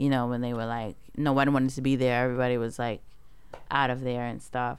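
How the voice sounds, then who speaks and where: With a New York accent, a woman speaks in a very deep, low pitch. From Brooklyn, New York. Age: young. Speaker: podcast co-host. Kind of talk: casual chat.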